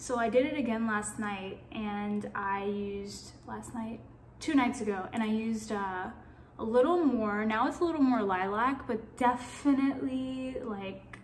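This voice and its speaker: A woman with an American accent and a fairly high pitch, at a fairly slow pace with ordinary pitch variation and audible room echo. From New York, then Atlanta from age 15. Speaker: vlogger. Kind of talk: casual vlog monologue. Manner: rambling, filler-heavy.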